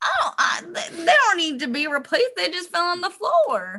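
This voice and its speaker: A woman puts on a character voice, pitched extremely high and swinging very widely up and down. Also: moderate pace. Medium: actual play. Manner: cheeky, giggly.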